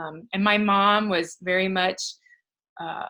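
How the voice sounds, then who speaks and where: A woman speaks loudly at a medium pitch with a bright, sharp tone. Her intonation is monotone and flat. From US Midwest, Michigan. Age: 40s. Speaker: professor and women's leadership coach. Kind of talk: interview.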